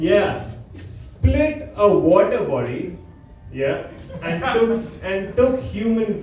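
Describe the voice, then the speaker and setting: A man talks in a strong Indian accent. There is audible room echo and noticeable background noise. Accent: thick accent, Indian. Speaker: stand-up comedian. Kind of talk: stand-up. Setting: stage with audience.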